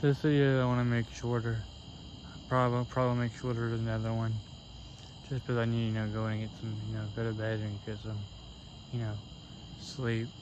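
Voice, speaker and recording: In an American accent, a man with a medium-pitched voice talks fairly quickly in a flat monotone, leaving long, frequent pauses, with audible room echo. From US Midwest, Cincinnati, Ohio. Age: 20s. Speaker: storm chaser vlogger. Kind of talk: casual vlog commentary. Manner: halting, many fillers.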